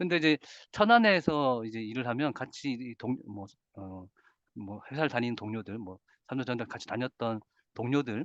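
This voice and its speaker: With a dry, close sound and no echo, a man at medium pitch talks at a moderate pace, his loudness swinging widely, his pitch varying in an ordinary way, and his speech broken by long, frequent pauses. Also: quiet background. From South Korea, Busan. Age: 40s. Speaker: financial literacy lecturer. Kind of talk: lecture. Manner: hesitant with many fillers.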